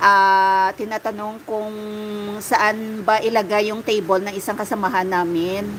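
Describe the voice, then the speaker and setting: With a Western Visayas accent, a woman speaks at a fairly slow pace and fairly high pitch amid noticeable background noise. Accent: Ilonggo accent when speaking Tagalog. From Iloilo, Philippines. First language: Hiligaynon (speaking Tagalog). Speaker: livestreamer. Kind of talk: casual chat. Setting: live stream.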